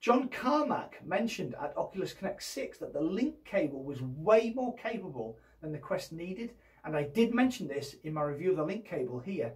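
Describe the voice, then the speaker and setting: The voice swings very widely in pitch while keeping a moderate pace. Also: man, high pitch for a man. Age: 50s. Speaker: VR YouTuber. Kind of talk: news roundup video. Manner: enthusiastic.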